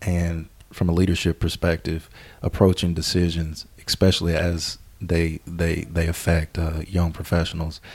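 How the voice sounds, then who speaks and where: Monotone, flat speech at a moderate pace with a Southern US accent. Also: man, very deep, low pitch for a man. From US South, southern Arkansas. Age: 20s. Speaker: business consultant. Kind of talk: casual interview.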